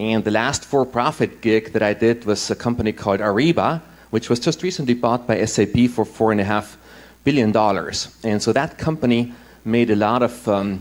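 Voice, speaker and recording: A man with an Austrian accent speaks at a moderate pace and medium pitch, with ordinary pitch variation and very even loudness. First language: German. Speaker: impact investor and former tech executive. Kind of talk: conference talk.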